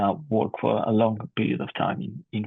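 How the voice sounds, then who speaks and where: This is a man speaking with a Barcelona accent. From Spain, Barcelona. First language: Spanish or Catalan. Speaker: physician researcher. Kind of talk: conference presentation.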